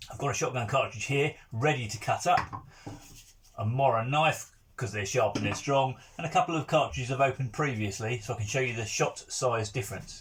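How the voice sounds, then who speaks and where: At a fairly quick pace and with ordinary pitch variation, the talking comes through noticeable background noise. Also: man, medium pitch for a man. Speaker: countryside YouTuber. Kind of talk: tutorial.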